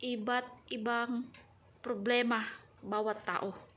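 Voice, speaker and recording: A woman speaks at a very slow pace with fairly even intonation. Her tone is bright and sharp. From Mindanao, Philippines (Subanen). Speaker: vlogger, domestic worker. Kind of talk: casual vlog talk to camera. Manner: halting.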